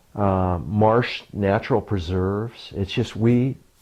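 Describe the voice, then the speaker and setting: Fairly even intonation and a dark, mellow tone mark this voice with an American accent. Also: man. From Martinez, California. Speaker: park supervisor. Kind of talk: oral history interview answer.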